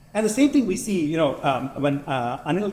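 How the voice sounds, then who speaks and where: At a fairly quick pace, a man talks loudly in a high pitch with very wide pitch swings. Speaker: panelist, tech industry executive. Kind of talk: panel discussion.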